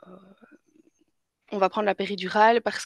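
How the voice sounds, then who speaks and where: A woman's fairly high voice at a moderate pace, with a Belgian accent, dry and close with no echo. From Belgium. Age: 20s. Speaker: mother telling birth stories. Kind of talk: interview. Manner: halting, many fillers.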